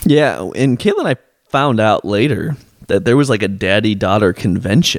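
A man with a plain, everyday voice at medium pitch, moderate pace, lively intonation and very even loudness, on a very clean recording with a silent background. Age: 20s. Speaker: healthcare administrator. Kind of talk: casual chat.

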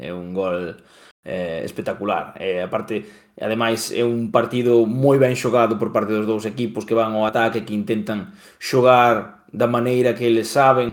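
A man speaks with a Galician accent. His pitch is medium. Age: 30s. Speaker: football pundit. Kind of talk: football history discussion.

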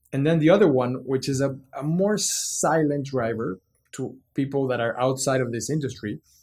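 At a moderate pace, a man with a Mexican accent sounds somewhat breathy and uses ordinary pitch variation. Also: medium pitch for a man. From Mexico City. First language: Spanish. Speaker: business executive. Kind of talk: interview.

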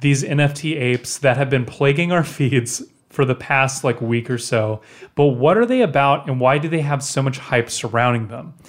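The man has a fairly high pitch and an unremarkable speaking voice. He talks at a moderate pace with ordinary pitch variation. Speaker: podcast co-host. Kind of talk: casual chat about music business news. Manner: playful, jokey banter.

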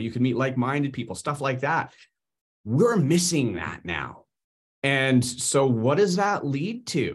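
With a Canadian accent and vocal fry, a man at a medium pitch speaks with lively intonation on a very clean recording with a silent background. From Canada. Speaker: internet marketing entrepreneur. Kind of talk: casual discussion.

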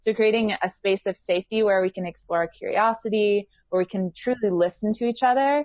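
A woman speaks in an unremarkable speaking voice at a fairly quick pace with ordinary pitch variation. The sound is dry and close with no echo, against a quiet background. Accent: American. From England and Houston, Texas. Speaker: workshop facilitator and yoga teacher. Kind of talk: casual interview chat.

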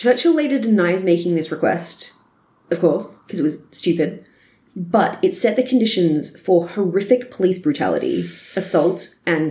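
A woman's medium-pitched, somewhat breathy voice with a dark, mellow tone, ordinary pitch variation and a moderate pace. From Australia. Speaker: history podcast co-host. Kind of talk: scripted history narration.

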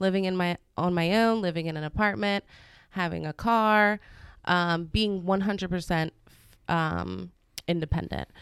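A woman's fairly low voice at a moderate pace, fairly even in intonation, with long, frequent pauses, dry and close with no echo, on a very clean recording with a silent background. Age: 30s. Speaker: salon owner. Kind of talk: casual chat.

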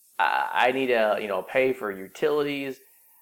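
Using an unremarkable speaking voice, a man with an American accent talks at a fairly slow pace with ordinary pitch variation. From California, Silicon Valley. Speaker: personal finance podcast host. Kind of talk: solo podcast explainer. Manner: conversational with frequent fillers.

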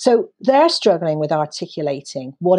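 Over a quiet background, a woman with a British accent speaks at a moderate pace. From Britain. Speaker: education and career readiness advocate. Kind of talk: podcast interview. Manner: animated.

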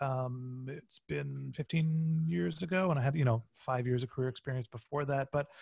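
Somewhat breathy and fairly high in pitch, a man's voice shows ordinary pitch variation. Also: dry, close sound with no echo. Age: 40s. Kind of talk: casual interview chat. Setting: video call.

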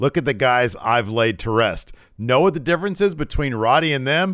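In a very clean recording with a silent background, a man with an unremarkable speaking voice talks at a moderate pace and medium pitch, his intonation lively. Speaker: wrestling podcast host. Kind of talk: casual chat, show recap and review. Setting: live on Twitch stream.

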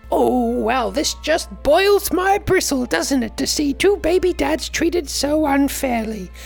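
A female-sounding, put-on character voice speaks at a fairly slow pace with clear music in the background. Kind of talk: comic overacting. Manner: warm, indignant, bumbling.

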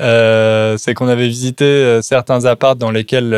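With fairly even intonation, a man talks at a moderate pace and a medium pitch, in a dry, close sound with no echo. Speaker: podcast host teaching French. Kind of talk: casual chat. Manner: clear, adapted for learners.

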